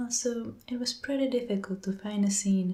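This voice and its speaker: A soft-spoken woman with a somewhat breathy voice and a dark, mellow tone. Her intonation stays fairly even at a moderate pace. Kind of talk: casual talk to camera, soft-spoken ASMR narration.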